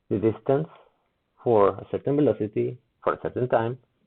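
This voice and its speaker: A man with a non-native accent speaks at a moderate pace with medium pitch and ordinary pitch variation. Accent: heavy non-native. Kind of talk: physics explanation video, response commentary.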